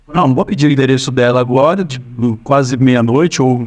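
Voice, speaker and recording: A man is talking. His pace is very fast. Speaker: storyteller. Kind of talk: personal anecdote. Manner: casual, hesitant. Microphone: no microphone, AI-enhanced audio.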